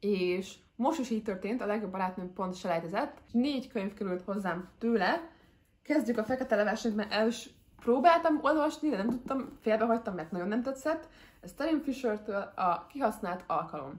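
Somewhat breathy and fairly high in pitch, a woman speaks at a moderate pace with lively intonation. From Hungary. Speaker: book vlogger. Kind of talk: casual chat. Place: home room.

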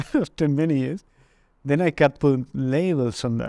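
With a Spanish accent and a dark, mellow tone, a man speaks at a moderate pace in a dry sound with no echo against a quiet background. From Argentina, Mendoza; Argentina. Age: 30s. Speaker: interviewee. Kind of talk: testimony; interview answer. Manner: halting. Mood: calm, reflective. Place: studio. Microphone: lapel.

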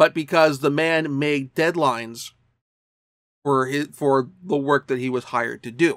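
Fairly slowly and with fairly even intonation, a man talks while the background stays quiet. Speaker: anime reviewer vlogger. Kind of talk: casual vlog commentary. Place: home room. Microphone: webcam.

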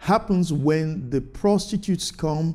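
With lively intonation, a man talks in a dark, mellow tone. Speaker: pastor. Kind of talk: sermon. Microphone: lapel.

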